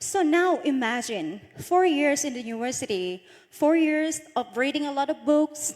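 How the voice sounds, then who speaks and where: A woman with a Thai accent and a high pitch, at a fairly slow pace with hardly any pauses. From Northeast Thailand (Isan). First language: Isan (Thai dialect). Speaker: beauty pageant runner-up. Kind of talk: motivational talk.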